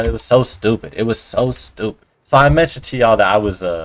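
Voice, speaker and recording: A man talks in a relaxed tone. His pitch is fairly low. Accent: American. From US, Colorado (Aurora). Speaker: vlogger. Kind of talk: casual storytime monologue. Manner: quiet at times; casual, relaxed. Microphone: poorly placed mic, low audio, no boom arm.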